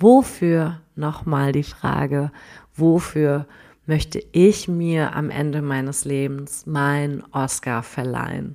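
A woman speaks at a very slow pace in a very deep, low pitch with a dark, mellow tone and fairly even intonation. The recording is very clean, with a silent background. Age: 30s. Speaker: life coach. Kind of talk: podcast monologue.

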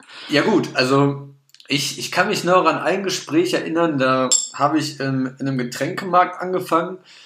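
The man's voice sits fairly high and shows ordinary pitch variation at a moderate pace. Audible room echo and noticeable background noise surround him. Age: 20s. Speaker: podcast co-host. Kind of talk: casual chat. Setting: studio.

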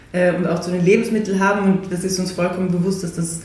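Her medium-pitched speech comes at a fairly quick pace with monotone, flat intonation. The woman's recording has audible room echo and noticeable background noise. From Austria, Salzburg. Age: 30s. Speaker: food company founder, nutritionist. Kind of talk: interview.

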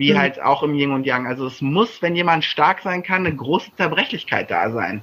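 With vocal fry and a bright, sharp tone, a man speaks at a fairly high pitch. His pace is moderate and his pitch swings very widely. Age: 30s. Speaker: coach and author. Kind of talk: casual chat.

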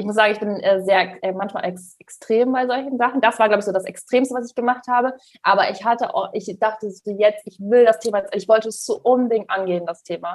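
A woman talks at a very fast pace with hardly any pauses. Her fairly high voice has ordinary pitch variation and big swings in loudness. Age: 20s. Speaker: money mentor. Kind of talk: podcast interview.

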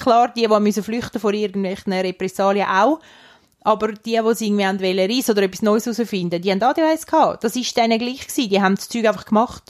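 In an unremarkable speaking voice, a woman with fairly high pitch and ordinary pitch variation speaks at a fairly quick pace. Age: 30s. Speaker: podcast co-host. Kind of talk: casual chat.

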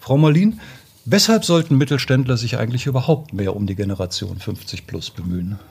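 A man's voice swings very widely in pitch while noticeable background noise sits behind it. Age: 50s. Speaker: podcast co-host. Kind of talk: interview.

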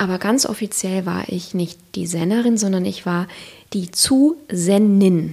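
A woman speaks at a fairly slow pace in a dark, mellow tone, her medium pitch showing ordinary variation. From Siegerland, Germany. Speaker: author and former marketing manager. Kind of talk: casual interview conversation. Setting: kitchen table at home.

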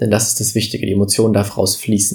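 A man speaks in a somewhat breathy voice. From Germany, village. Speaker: podcast host, business coach. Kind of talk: motivational monologue. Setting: studio podcast recording.

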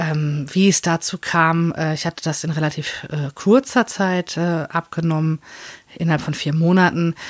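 On a very clean recording with a silent background and a dry, close sound with no echo, a woman speaks fairly slowly in a fairly low voice with fairly even intonation. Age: 30s. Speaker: podcaster. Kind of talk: personal monologue. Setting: small room in front of open wardrobe. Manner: hesitant, many fillers.

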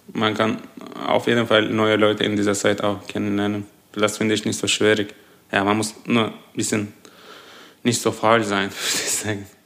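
Amid noticeable background noise, a man with a fairly low pitch speaks at a moderate pace in a monotone, flat intonation, pausing long and often. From Turkey, Adana. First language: Turkish (speaking German). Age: 20s. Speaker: engineering student. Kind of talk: interview.

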